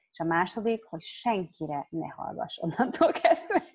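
A woman at a fairly slow pace, quiet background behind her. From Hungary. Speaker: interpreter. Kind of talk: consecutive interpreting. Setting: video call. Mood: reflective, personal. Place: home room. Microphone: video call.

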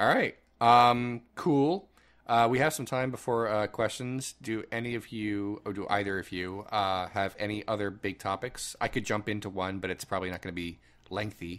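A man with a fairly low pitch speaks at a moderate pace with ordinary pitch variation. He has an ordinary speaking voice, on a very clean recording with a silent background. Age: 30s. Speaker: podcast host. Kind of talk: casual chat.

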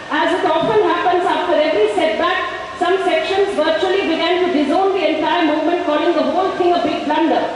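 Someone with an Indian accent talks at a fairly quick pace with hardly any pauses. Strong room echo and light background noise fill the recording. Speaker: rally speaker reading resolution. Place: stage. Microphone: podium.

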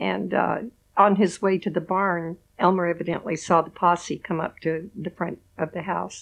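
Vocal fry runs through fairly even intonation as the speaker talks at a moderate pace with an American accent. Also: woman, fairly low pitch for a woman. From Oklahoma, US. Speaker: relative of a local rancher. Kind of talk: interview storytelling. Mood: warm, matter-of-fact recounting. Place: home room. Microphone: lapel.

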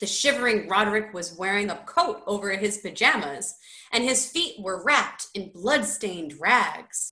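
Someone reads the text aloud in a natural voice.

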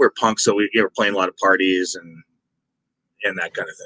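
Fairly quick speech from a man, the sound dry and close with no echo. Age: 50s. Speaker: metal musician and songwriter. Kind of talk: interview. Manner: casual, filler-heavy.

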